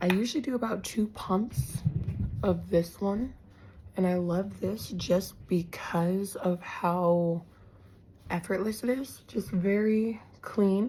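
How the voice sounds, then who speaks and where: Recorded very cleanly against a silent background, a woman speaks at a very slow pace in a medium pitch, somewhat breathy and dark, mellow in tone, with ordinary pitch variation. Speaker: makeup artist and esthetician. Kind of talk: tutorial. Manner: casual, chatty.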